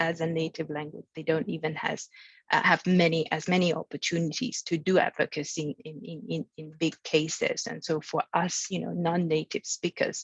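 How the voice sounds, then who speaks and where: A woman with a Chinese accent, somewhat breathy and fairly low-pitched, in a dry, close sound with no echo. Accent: Mandarin Chinese accent in English. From mainland China. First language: Mandarin Chinese. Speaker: international arbitration lawyer. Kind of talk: panel talk at training webinar. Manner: halting, many fillers and repetitions.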